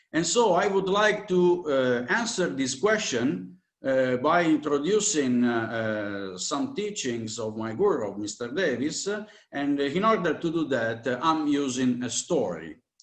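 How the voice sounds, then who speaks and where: Audible room echo surrounds a man with a fairly high pitch. He talks at a fairly slow pace with very wide pitch swings. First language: Italian. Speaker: spiritual teacher. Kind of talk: lecture. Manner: halting, many fillers.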